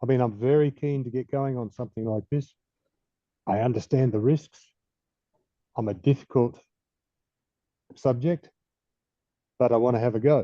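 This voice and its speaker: A man with an Australian accent speaks at a medium pitch in a dark, mellow tone. His intonation is fairly even, at a moderate pace with long, frequent pauses. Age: 70s. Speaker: audience member with spinal injury. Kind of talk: question in online session.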